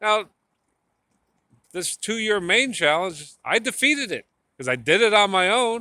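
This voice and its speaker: In an American accent, the raised, projected voice has a bright, sharp tone and lively intonation. The pace is fairly slow, with long, frequent pauses. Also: man, high pitch for a man. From New Jersey. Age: 50s. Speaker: tattoo artist vlogger. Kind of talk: casual vlog monologue. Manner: halting, repetitive.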